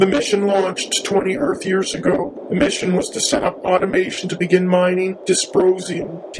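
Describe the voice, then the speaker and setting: A man's put-on character voice, high-pitched, at a moderate pace over clear background noise. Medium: voice reel.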